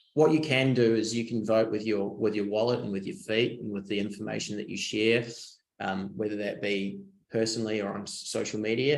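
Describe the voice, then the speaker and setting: Here a man talks in a New Zealand accent at a medium pitch. His pace is fairly quick and his intonation fairly even. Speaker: design agency managing director. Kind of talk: webinar presentation. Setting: online webinar. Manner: hesitant, many fillers and repeats.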